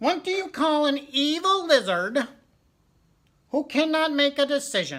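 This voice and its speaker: A woman uses a put-on character voice, high in pitch with lively intonation. She moves at a moderate pace with long, frequent pauses. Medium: read story.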